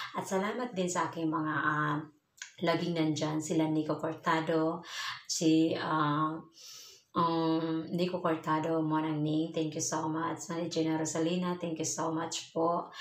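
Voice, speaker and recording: A woman speaks at a fairly slow pace with a fairly low pitch, monotone and flat. Audible room echo surrounds her voice. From Philippines. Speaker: vlogger, overseas Filipino worker; vlogger. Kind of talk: casual vlog talk to viewers. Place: home room. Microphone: phone near.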